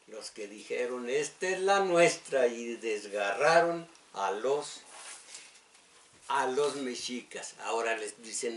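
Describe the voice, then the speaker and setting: A man speaks very slowly at a medium pitch, his intonation lively and his loudness swinging widely. Noticeable background noise runs under the recording. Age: old. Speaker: radio host. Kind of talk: radio talk and history lecture. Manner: halting, many fillers.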